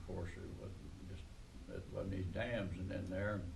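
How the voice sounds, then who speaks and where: A man is speaking amid noticeable background noise. Room echo is audible. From southeastern Ohio. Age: 80s+. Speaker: oral history interviewee. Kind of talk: oral history interview. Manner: halting, many fillers.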